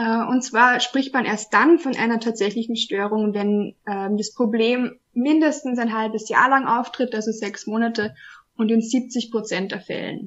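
A woman with an Austrian accent speaks in a fairly high pitch with fairly even intonation. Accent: Austrian, noticeable. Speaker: trainee sex counselor. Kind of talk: casual interview. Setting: video podcast.

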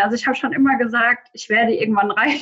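Using a normal speaking voice, a woman talks with fairly even intonation. Her voice sits fairly high. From Germany, near Frankfurt am Main. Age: 20s. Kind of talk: interview answers.

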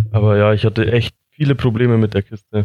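The voice has a dark, mellow tone and a moderate pace, recorded dry and close with no echo. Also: man. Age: 20s. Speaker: motorcycle hobbyist. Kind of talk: casual chat.

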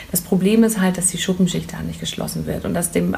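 Noticeable background noise under a woman's voice of medium pitch. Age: 30s. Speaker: hair tool sales representative. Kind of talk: casual interview. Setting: hair salon boutique.

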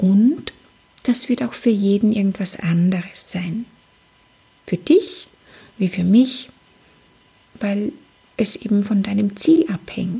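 Somewhat breathy, a woman speaks at a very slow pace with long, frequent pauses. Her pitch is medium and her intonation lively. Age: 40s. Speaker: psychologist and life coach, podcast host. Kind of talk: solo motivational podcast monologue.

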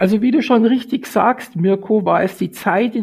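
This is a man's voice. He talks at a fairly slow pace. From Munich, Bavaria. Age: 50s. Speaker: golf industry association director. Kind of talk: interview.

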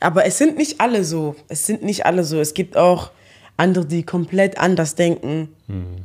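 Using a normal speaking voice, a woman with a fairly low pitch talks at a moderate pace. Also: ordinary pitch variation. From Germany, Eschweiler near Aachen. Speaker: social media personality. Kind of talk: interview.

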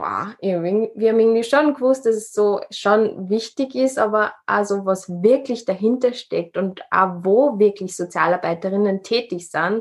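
A woman speaks with a plain, everyday voice. Her pitch is fairly high and varies in an ordinary way. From Upper Austria. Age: 20s. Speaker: social worker and podcaster. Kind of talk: interview.

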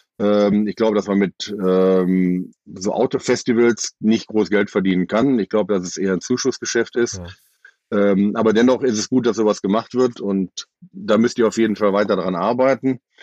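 A man with fairly even intonation and a plain, everyday voice. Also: fairly low pitch for a man, moderate pace. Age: 50s. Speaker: festival-goer. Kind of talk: casual chat.

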